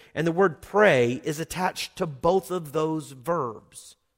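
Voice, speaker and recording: A man talks with a Southern US accent. His pace is very slow. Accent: Southern US (Oklahoma). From Oklahoma. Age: 40s. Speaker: pastor. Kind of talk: sermon. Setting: church.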